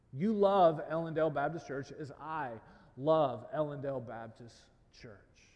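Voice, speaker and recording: There is audible room echo around a man with a fairly high pitch. He keeps a moderate pace, and his loudness swings widely. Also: ordinary pitch variation. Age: 30s. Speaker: pastor. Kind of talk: sermon.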